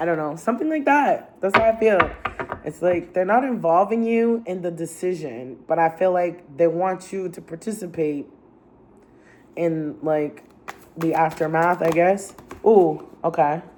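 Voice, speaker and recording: A woman's fairly low voice, fairly slow, with ordinary pitch variation. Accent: American. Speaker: tarot reader. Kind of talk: tarot reading. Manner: casual, with filler words.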